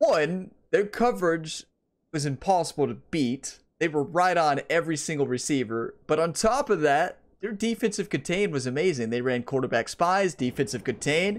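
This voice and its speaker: A man with lively intonation at a moderate pace, over a quiet background. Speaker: gaming YouTuber. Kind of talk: gameplay commentary. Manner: animated.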